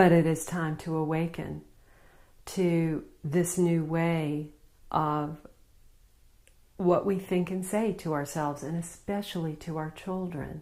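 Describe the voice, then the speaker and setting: Speaking in a Southern US accent, a woman with a fairly low pitch and a dark, mellow tone delivers her words in a monotone, flat intonation, broken by long, frequent pauses. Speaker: spiritual healer. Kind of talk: spiritual talk to camera.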